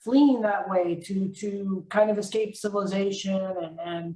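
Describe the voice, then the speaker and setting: A woman speaks with an American accent and a somewhat breathy quality. Her intonation stays fairly even. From North Carolina. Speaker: author. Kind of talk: casual chat. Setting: video call.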